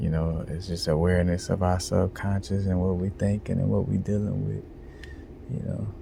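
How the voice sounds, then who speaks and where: Somewhat breathy and very deep, low in pitch, a man speaks at a moderate pace with fairly even intonation. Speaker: video blogger. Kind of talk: casual monologue vlog. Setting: library. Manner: talking low.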